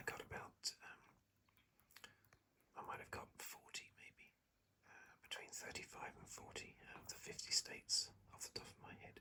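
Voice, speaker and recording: Whispering with a British accent, the speaker keeps a moderate pace. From England. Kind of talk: casual talk to camera, relaxed ASMR commentary. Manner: whispered, soft-spoken.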